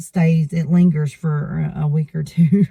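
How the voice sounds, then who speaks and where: The speaker has an Appalachian accent. The delivery is very slow. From eastern Kentucky. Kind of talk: casual accent tag conversation.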